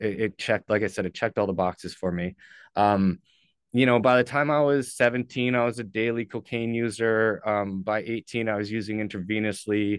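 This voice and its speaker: Against a quiet background, a man with a Canadian accent talks at a fairly quick pace in an ordinary speaking voice, fairly low in pitch with fairly even intonation. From Ontario, Canada (St. Catharines). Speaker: person in addiction recovery. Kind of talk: personal testimony in interview.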